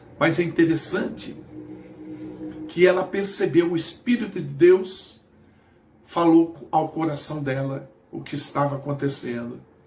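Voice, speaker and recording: Speaking at a fairly slow pace with long, frequent pauses, a man uses a fairly high pitch with ordinary pitch variation and big swings in loudness. Noticeable background noise is audible. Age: 60s. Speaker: missionary preacher. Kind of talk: sermon.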